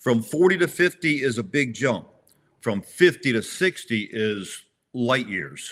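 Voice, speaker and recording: At a fairly slow pace, a man speaks with lively intonation at a medium pitch on a very clean recording with a silent background. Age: 60s. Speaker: tactical games competitor. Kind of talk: casual chat. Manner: halting, repeats words.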